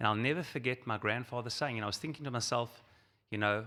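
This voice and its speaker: A man's medium-pitched, bright, sharp voice in a South African accent, with ordinary pitch variation, in a very clean recording over a silent background. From South Africa, Johannesburg. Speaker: rabbi and Zionist organization leader. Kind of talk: keynote speech.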